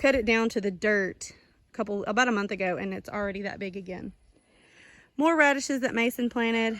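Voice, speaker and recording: A woman's fairly high-pitched voice, bright and sharp in tone, with ordinary pitch variation. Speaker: home gardener vlogger. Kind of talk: casual garden tour walkthrough. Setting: outdoors in garden. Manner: fast.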